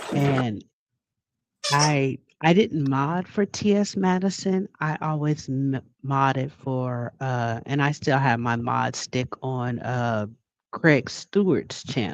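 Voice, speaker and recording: A soft-spoken woman talks at a very slow pace with a very deep, low pitch. Her intonation is lively. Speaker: livestream chat moderator and panel guest. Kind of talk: casual chat.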